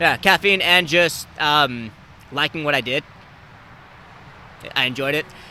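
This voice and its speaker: Loud and fairly slow, a man speaks in a fairly high voice with a bright, sharp tone, ordinary pitch variation and long, frequent pauses. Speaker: podcast host. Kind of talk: casual chat.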